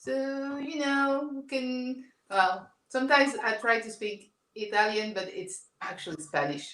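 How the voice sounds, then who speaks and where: A woman speaks fairly slowly with a French accent, her high-pitched voice showing lively intonation. Her loudness swings widely, and room echo is audible. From France. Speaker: comic book artist. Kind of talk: casual chat. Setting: livestream.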